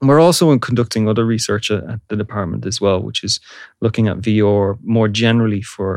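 A man with a Dublin accent speaks fairly quickly at a fairly low pitch, in a very clean recording with a silent background and a dry, close sound with no echo. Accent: Irish (Dublin). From Ireland, Dublin. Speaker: university lecturer and audio researcher. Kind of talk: interview. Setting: studio.

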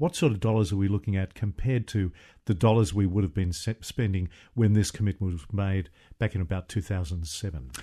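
Against a quiet background, a man with an Australian accent speaks very fast in a fairly low, somewhat breathy voice with a dark, mellow tone and ordinary pitch variation. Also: dry, close sound with no echo. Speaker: radio host. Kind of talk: scripted introduction; talk radio interview. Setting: studio.

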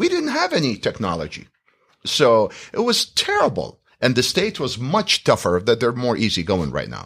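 At a moderate pace, a man speaks with an Iraqi accent. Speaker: real estate school owner and instructor. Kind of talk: interview.

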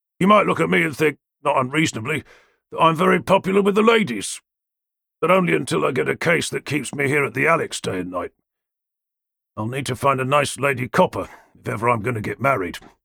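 A bright, sharp tone with vocal fry and very wide pitch swings comes at a very fast pace, broken by long, frequent pauses. The recording is very clean, with a silent background. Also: man, fairly high pitch for a man. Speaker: audiobook narrator. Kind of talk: dramatic audiobook narration with character voices. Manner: wry, gravelly-toned noir delivery with clipped dialogue; shifts between narrator and gruff characters.

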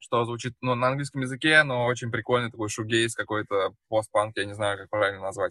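A man with a plain, everyday voice speaks at a moderate pace with ordinary pitch variation. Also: dry, close sound with no echo. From Russia, Samara. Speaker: musician. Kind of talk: casual chat.

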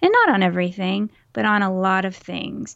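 A woman with a Texas accent. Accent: mild Texas. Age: 40s. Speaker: podcast co-host. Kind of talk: casual chat. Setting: home recording, remote.

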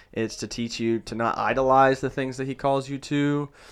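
In a very clean recording with a silent background, a man with an unremarkable speaking voice talks with fairly even intonation. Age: 30s. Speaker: church planter, pastor. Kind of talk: interview.

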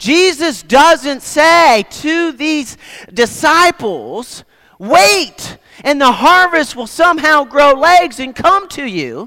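Very slowly, a man speaks in a raised, projected voice at an extremely high pitch, bright and sharp in tone, with lively intonation. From Nova Scotia, Canada. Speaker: guest preacher. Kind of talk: sermon. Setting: church.

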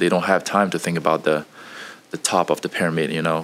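This man talks at a very fast pace, his pitch very deep and low, his intonation fairly even. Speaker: engineer, recent graduate. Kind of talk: casual interview. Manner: halting, with fillers.

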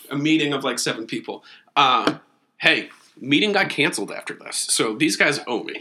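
Bright and sharp in tone, a man with a fairly high pitch speaks at a fairly quick pace. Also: ordinary pitch variation. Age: 40s. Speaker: podcast guest, friend of host. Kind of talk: casual chat. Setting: his living room.

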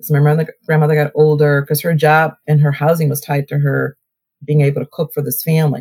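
A woman with a slight Southern US accent speaks at a fairly quick pace with very deep, low pitch. Her tone is dark, mellow and somewhat breathy, in a dry, close sound with no echo. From Ohio (Cleveland area), born in Alabama. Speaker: mayor. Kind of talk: interview. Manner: animated.

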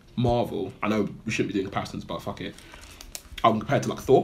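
A man speaks in a fairly bright tone.

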